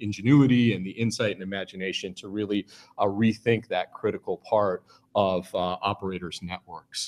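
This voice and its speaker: A man with a plain, everyday voice and a fairly low pitch talks at a fairly quick pace, with ordinary pitch variation and big swings in loudness. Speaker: keynote speaker. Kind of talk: keynote speech. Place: hall.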